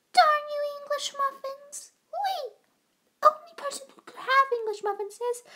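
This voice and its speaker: This is a put-on character voice that sounds female. It speaks at a moderate pace and an extremely high pitch. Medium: dub. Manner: excited, upbeat.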